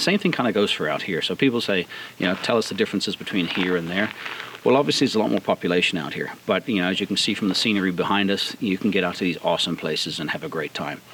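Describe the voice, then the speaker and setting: Noticeable background noise accompanies the speech. The words come very fast, with ordinary pitch variation. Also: man, fairly low pitch for a man. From South Africa. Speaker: off-road vehicle builder. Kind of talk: outdoor interview. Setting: outdoors. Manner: hesitant, many fillers.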